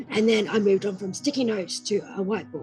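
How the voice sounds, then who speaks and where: A woman with an Australian accent speaks at a fairly quick pace and medium pitch. Music plays in the background. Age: 20s. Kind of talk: personal story talk to camera.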